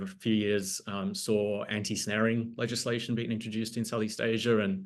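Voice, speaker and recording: The speaker has an Australian accent. The pace is moderate. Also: man. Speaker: board candidate, nonprofit communications director. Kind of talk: candidate introduction on a video call. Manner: many filler ums.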